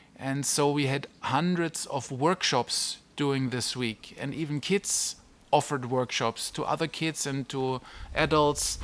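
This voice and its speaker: On a very clean recording with a silent background, a man with a German accent speaks at a fairly slow pace, his pitch fairly high and his intonation fairly even. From Germany. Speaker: online business mentor and family vlogger. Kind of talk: casual vlog talk. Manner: halting, with fillers and restarts.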